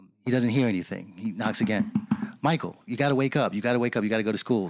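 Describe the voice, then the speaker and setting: Very fast American-accented speech on a very clean recording with a silent background. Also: man. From New York, the Bronx. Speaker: navy veteran and business owner. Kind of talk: interview. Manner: hesitant, many fillers.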